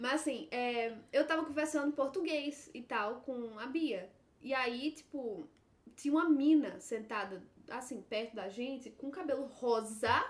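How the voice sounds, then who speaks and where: Her voice is high-pitched, with ordinary pitch variation. The woman talks at a fairly slow pace. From Brazil. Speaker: guest. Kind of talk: casual chat.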